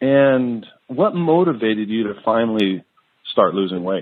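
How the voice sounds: A man talks at a fairly slow pace. His fairly low pitch moves in big swings.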